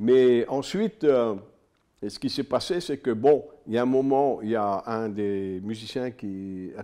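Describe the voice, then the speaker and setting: A man's dark, mellow tone at a very slow pace, with ordinary pitch variation and a quiet background. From northern France, Pas-de-Calais (Liévin); Pas-de-Calais, France. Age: 70s. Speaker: boxing and MMA manager, former rock singer; guest. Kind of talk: casual interview chat; interview answer. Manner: halting, many hesitations. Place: studio. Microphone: studio mic.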